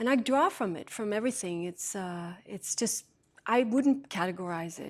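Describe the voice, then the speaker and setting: A woman speaks with a Norwegian accent and lively intonation, her loudness swinging widely. The recording is very clean, with a silent background. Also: medium pitch for a woman, moderate pace. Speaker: singer. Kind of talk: TV interview.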